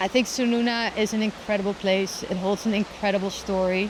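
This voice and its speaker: A woman's intonation stays monotone and flat, with noticeable background noise behind her. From Netherlands. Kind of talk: interview answer.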